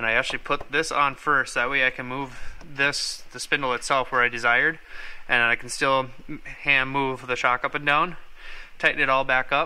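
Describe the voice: With a bright, sharp tone, a man speaks at a medium pitch and keeps his intonation fairly even. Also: moderate pace.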